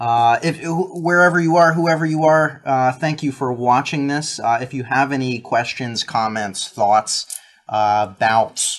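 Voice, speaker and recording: An ordinary speaking voice at a fairly slow pace, with ordinary pitch variation. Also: man. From New Jersey. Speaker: podcast co-host. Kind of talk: casual chat. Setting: live stream.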